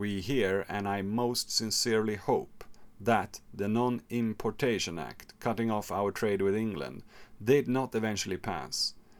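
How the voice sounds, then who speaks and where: On a very clean recording with a silent background, a man uses an ordinary speaking voice, fairly low in pitch, with ordinary pitch variation and a fairly slow pace. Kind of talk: history podcast narration. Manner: measured, expository, narrating dates and quotes; playful, theatrical asides doing mock Napoleon.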